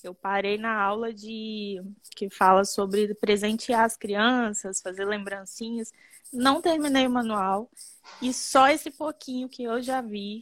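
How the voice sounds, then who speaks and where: A woman's fairly high voice, fairly even in intonation and very slow, in a very clean recording with a silent background. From Brazil, Espírito Santo (Muqui). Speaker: children's ballet teacher. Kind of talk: testimonial interview.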